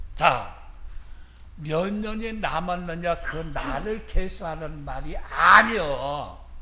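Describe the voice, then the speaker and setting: Speaking at a very slow pace, a man has a high pitch and ordinary pitch variation. Audible room echo and noticeable background noise fill the recording. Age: 70s. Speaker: retired senior pastor. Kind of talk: sermon. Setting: church.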